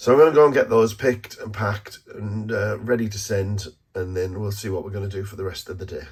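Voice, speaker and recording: This man's voice is somewhat breathy, with a fairly low pitch. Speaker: vlogger, online toy reseller. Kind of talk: vlog monologue. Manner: hesitant, many fillers.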